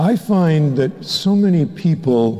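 Against a quiet background, a man speaks at a very slow pace. His warm voice makes very wide pitch swings. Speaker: parish priest. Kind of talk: homily to a congregation, calm pastoral teaching after the Gospel reading. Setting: church. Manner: warm, unhurried, earnest and conversational; gently persuasive, leads the congregation through a prayer. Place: church.

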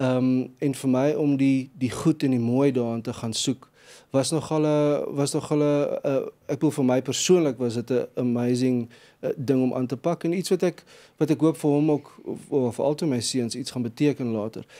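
Fairly even in intonation, a man's voice carries a dark, mellow tone. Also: quiet background. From South Africa. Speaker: gospel singer-songwriter; guest. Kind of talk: interview. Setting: studio. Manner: halting. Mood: calm, reflective. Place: studio. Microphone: studio mic.

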